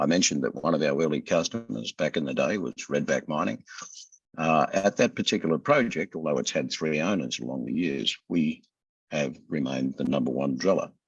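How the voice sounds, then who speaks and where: With an Australian accent, a man with a very deep, low pitch and vocal fry talks at a fairly quick pace, his pitch variation ordinary. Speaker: company CEO. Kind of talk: investor interview. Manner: casual, conversational.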